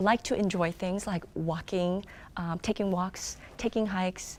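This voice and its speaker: In a very clean recording with a silent background, a woman with a Korean accent speaks in a monotone, flat delivery at a medium pitch. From South Korea, moved to US as child. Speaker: children's book author and illustrator. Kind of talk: interview answers. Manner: hesitant, many filler ums.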